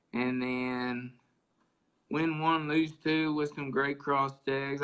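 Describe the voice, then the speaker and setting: A man's fairly high voice with an Oklahoma accent and monotone, flat intonation. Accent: rural Oklahoma. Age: young. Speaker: gamefowl breeder. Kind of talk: interview storytelling. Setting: live video stream.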